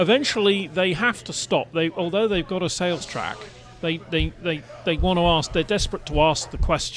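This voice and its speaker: A man's high voice at a moderate pace with ordinary pitch variation, and music in the background. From England. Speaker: podcast panelist. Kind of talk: casual chat.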